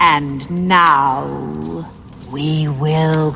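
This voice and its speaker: A cartoonish character voice that sounds female and is very deep and low in pitch comes through over clear background noise. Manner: cold, commanding.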